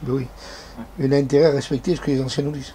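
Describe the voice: A man talks very fast at a medium pitch, with little pitch movement. His tone is dark and mellow, with faint background noise behind him.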